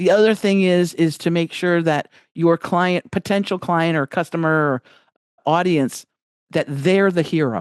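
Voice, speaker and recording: In an ordinary speaking voice, a woman talks at a moderate pace and a fairly low pitch with ordinary pitch variation. The sound is dry and close with no echo, over a quiet background. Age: 60s. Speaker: business coach. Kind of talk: podcast interview. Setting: video call.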